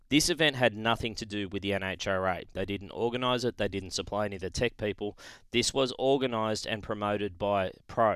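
On a very clean recording with a silent background, a man with an Australian accent talks at a fairly quick pace and a fairly low pitch, with ordinary pitch variation and hardly any pauses. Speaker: podcast host and motorsport commentator. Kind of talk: news reading; casual chat.

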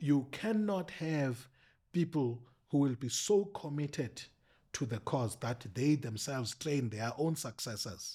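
This man has a fairly high pitch, a dark, mellow tone and a somewhat breathy quality. His intonation is lively, and the recording is very clean with a silent background. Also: fairly slow pace. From South Africa, rural Eastern Cape. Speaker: political analyst and politics lecturer. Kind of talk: casual interview. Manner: halting.

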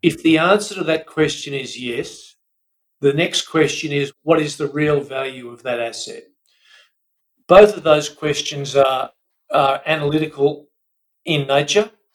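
Speaking slowly, a man with an Australian accent and fairly high pitch keeps a fairly even intonation, with long, frequent pauses and big swings in loudness. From Australia, Melbourne. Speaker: buyer's advocate. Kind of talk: interview.

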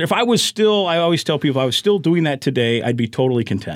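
With a Midwestern US accent, a man talks at a very fast pace in a fairly high pitch, his voice swinging very widely up and down. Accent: US Midwest. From Iowa. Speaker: sports radio play-by-play announcer. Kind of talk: casual chat.

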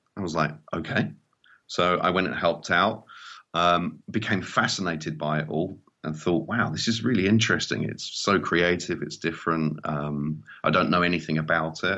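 Speaking with an English accent, a man with a very deep, low pitch keeps a moderate pace and ordinary pitch variation. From England, small seaside town. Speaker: mobile filmmaker and trainer. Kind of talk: interview conversation.

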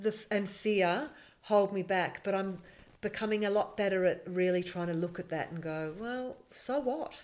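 Someone with an Australian accent speaks at a moderate pace with ordinary pitch variation. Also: woman, medium pitch for a woman. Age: 50s. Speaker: filmmaker. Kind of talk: casual chat.

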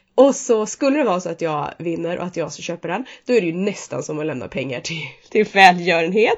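Big swings in loudness and very wide pitch swings mark this woman's fairly low voice, delivered at a fairly quick pace. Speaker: podcast co-host. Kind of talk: casual chat.

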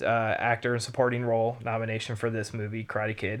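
A natural voice is used. The text is read aloud.

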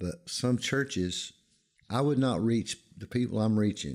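A man talks at a moderate pace with lively intonation. The recording is very clean, and the background is silent. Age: 50s. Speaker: pastor. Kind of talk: interview. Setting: church.

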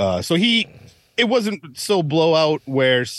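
A man speaks at a moderate pace with a Midwestern US accent. The recording is very clean, with a silent background. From US Midwest, Wisconsin. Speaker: podcast host. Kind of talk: casual banter.

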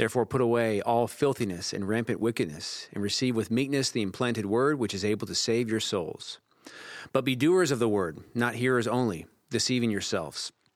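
On a very clean recording with a silent background, a man speaks in a normal speaking voice. His pitch is medium, with ordinary pitch variation and a fairly quick pace. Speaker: campus pastor. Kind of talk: casual interview chat about a sermon.

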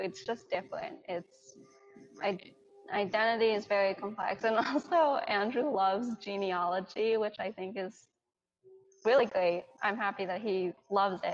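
A woman at medium pitch, in an American accent, at a moderate pace, with music in the background. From New York, US. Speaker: Chinese adoptee. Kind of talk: casual chat.

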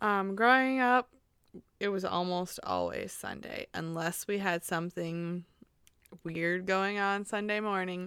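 In an American accent, a woman with an ordinary speaking voice talks at a fairly slow pace and a medium pitch. Her intonation is fairly even, and the recording is very clean with a silent background. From Missouri, US. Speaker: childcare provider. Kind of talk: casual interview chat.

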